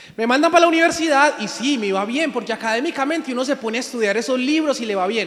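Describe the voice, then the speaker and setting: Noticeable background noise sits behind a man speaking. His pitch is extremely high, with ordinary pitch variation. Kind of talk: sermon.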